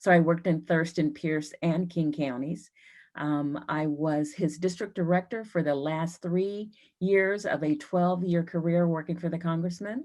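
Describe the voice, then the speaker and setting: A woman with an American accent has an ordinary speaking voice. Her pitch is fairly low, her intonation fairly even, and her pace moderate. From US Pacific Northwest, Seattle. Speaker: politician. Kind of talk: candidate forum statement. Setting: video call.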